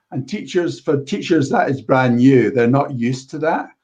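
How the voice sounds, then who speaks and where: With a medium pitch, the man talks in an unremarkable speaking voice. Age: 60s. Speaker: computer science educator and coding club volunteer. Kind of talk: panel discussion. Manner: repetitive restarts.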